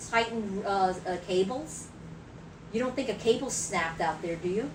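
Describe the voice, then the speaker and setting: A woman with an American accent and a medium pitch speaks at a moderate pace with ordinary pitch variation and long, frequent pauses, amid noticeable background noise and audible room echo. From New York City, Brooklyn. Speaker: livestream co-host, retiree. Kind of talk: casual livestream chat. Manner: halting, many repetitions.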